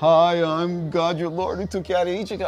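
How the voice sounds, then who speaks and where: A man's put-on character voice, high-pitched and monotone, at a moderate pace against clear background noise. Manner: salesman-like, chummy.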